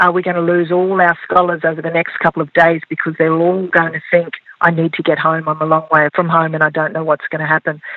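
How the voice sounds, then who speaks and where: Speaking very fast, a woman talks with an Australian accent. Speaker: farmer and agriculture scholarship leader. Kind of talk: interview conversation.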